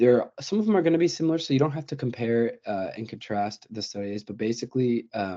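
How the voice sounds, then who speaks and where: Speaking at a fairly quick pace with hardly any pauses, a man at medium pitch uses lively intonation and a dark, mellow tone. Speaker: undergraduate research presenter. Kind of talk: webinar presentation. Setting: online webinar. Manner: fast; halting, many fillers.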